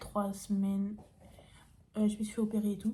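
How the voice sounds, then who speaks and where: The woman's voice sits at a fairly high pitch. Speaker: youtuber. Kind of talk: casual Q&A vlog. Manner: casual with many fillers.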